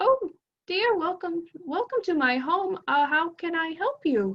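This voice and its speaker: A female-sounding put-on character voice, squeaky and warm in tone, at an extremely high pitch. She talks at a very slow pace. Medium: actual play. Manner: warm, fussing, chatty.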